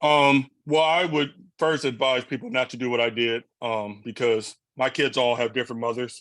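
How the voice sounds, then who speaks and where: The man's voice sits at medium pitch with fairly even intonation. He speaks at a moderate pace. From US Midwest, Flint, Michigan. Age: 30s. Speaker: single father of four. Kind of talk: podcast interview. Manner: loud at times.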